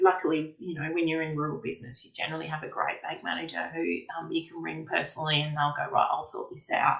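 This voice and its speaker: A woman talks at a very fast pace, her loudness swinging widely. Noticeable background noise sits behind her. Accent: Australian. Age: 40s. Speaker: farmer. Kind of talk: interview answer.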